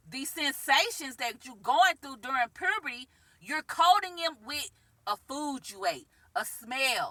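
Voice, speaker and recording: Raising and projecting her voice, a woman speaks high in pitch at a moderate pace, animated in tone with lively intonation, in a dry, close sound with no echo. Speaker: spiritual self-help vlogger. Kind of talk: vlog monologue. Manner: loud.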